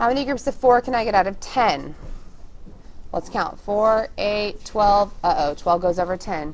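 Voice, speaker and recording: At a moderate pace, a woman with an unremarkable speaking voice talks at a medium pitch with lively intonation. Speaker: schoolteacher. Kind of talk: tutorial.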